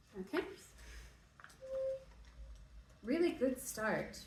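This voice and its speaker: A woman is speaking. Her voice has an audible room echo. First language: English (speaking French). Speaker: university translation teacher. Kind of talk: lecture. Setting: classroom. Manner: hesitant, many fillers.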